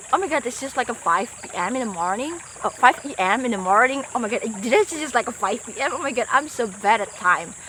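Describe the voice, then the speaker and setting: A woman with a non-native accent speaks very fast in a high voice with lively intonation. Her loudness swings widely over noticeable background noise. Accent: non-native English speaker. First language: not English. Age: 20s. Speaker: vlogger. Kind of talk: casual vlog monologue. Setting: outdoors by a forest river. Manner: halting, self-correcting.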